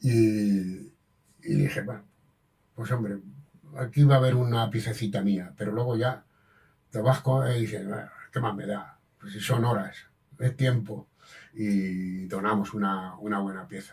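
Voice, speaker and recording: Fairly slow and with long, frequent pauses, a man speaks in a somewhat breathy, fairly low voice with ordinary pitch variation. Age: 80s+. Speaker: master damascene craftsman. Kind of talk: interview. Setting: at his home. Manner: halting, with frequent repetitions.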